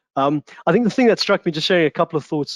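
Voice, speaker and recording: A man speaks with a South African accent. The sound is dry and close, with no echo. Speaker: discussion panelist. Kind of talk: online panel discussion. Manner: halting, many fillers and repetitions.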